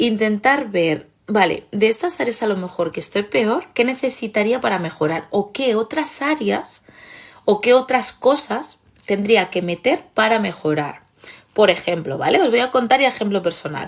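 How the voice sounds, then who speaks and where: A woman talks fairly slowly in a fairly high voice, her pitch swinging very widely. Her tone is animated. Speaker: therapist and online course creator. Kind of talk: live stream talk.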